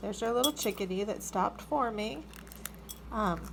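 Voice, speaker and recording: A woman talks at a moderate pace with medium pitch and an animated tone. Noticeable background noise is present. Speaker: backyard chicken keeper. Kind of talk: casual video demonstration. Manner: animated, exclaiming.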